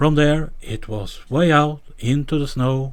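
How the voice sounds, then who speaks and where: Fairly high-pitched male speech in a Norwegian accent. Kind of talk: fairy tale reading.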